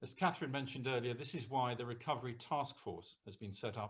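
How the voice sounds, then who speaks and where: Here a man talks at a medium pitch. His voice is somewhat breathy, and his pace is fairly quick. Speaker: senior local government official. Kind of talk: formal speech. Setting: video call. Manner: formal. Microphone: too quiet for some listeners.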